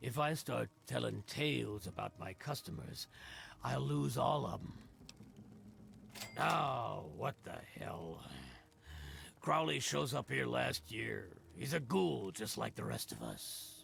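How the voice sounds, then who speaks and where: Putting on a raspy character voice with a very deep, low pitch and a fairly slow pace, a man leaves long, frequent pauses over clear background noise. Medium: video game.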